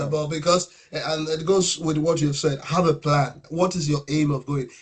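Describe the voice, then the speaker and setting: A man with a Nigerian accent, fairly high in pitch, at a moderate pace with monotone, flat intonation. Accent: Nigerian (Yoruba) English. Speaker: podcast host. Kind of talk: casual conversation.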